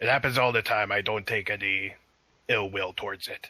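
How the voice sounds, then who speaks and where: The put-on character voice is raspy and moves at a fairly quick pace. Its intonation stays fairly even. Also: man, fairly low pitch for a man. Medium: actual play. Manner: earnest, helpful.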